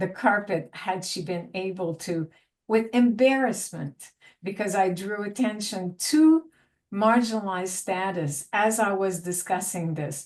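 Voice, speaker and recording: A woman speaks in a Quebec accent at a medium pitch. Her pace is fairly slow, with ordinary pitch variation. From Quebec, south of Montreal. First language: French. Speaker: university lecturer. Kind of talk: panel discussion.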